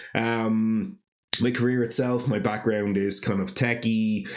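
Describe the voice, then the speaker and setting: Speech at a moderate pace comes through with audible room echo. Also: man. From Ireland, Dublin. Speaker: podcast host. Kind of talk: casual monologue podcast. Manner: animated.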